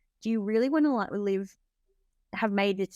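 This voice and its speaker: Here is a woman with an ordinary speaking voice, medium in pitch, at a fairly quick pace. The recording is very clean with a silent background and a dry, close sound with no echo. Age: 40s. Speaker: entrepreneur. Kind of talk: interview chat.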